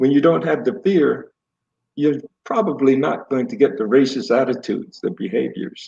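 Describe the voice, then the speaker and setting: With a dark, mellow tone and vocal fry, a man of fairly high pitch talks at a moderate pace using very wide pitch swings. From Brooklyn, New York. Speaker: guest, host's father. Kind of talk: family interview conversation.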